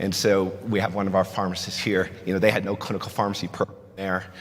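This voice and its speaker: A man's fairly low voice with a slight New Jersey accent, over noticeable background noise. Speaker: pharmacist and conference speaker. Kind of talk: conference talk. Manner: conversational, frequent fillers.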